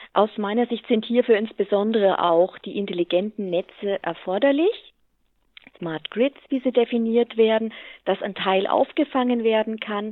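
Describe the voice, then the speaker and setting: Her pitch fairly high with ordinary variation, a woman speaks at a moderate pace in a plain, everyday voice. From Lower Franconia, Bavaria (Hammelburg). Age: 40s. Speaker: utility company executive. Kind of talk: interview.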